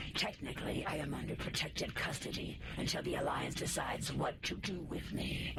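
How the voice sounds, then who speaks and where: Using a put-on character voice, a man talks fairly quickly against loud background noise. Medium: game stream. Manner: measured, formal.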